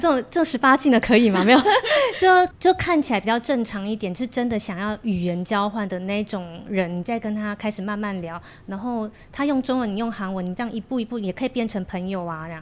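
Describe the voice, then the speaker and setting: A woman with a fairly high pitch speaks with a Korean accent. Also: lively intonation, fairly quick pace. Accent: Korean-tinged Mandarin. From Taiwan, Kaohsiung. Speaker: Korean language school owner and teacher. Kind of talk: casual chat.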